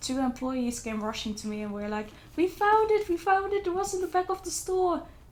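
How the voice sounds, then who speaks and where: With a non-native accent, a woman talks at a moderate pace. Her pitch swings very widely. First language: not English. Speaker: book vlogger. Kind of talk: casual book review vlog. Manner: hesitant, with fillers and restarts.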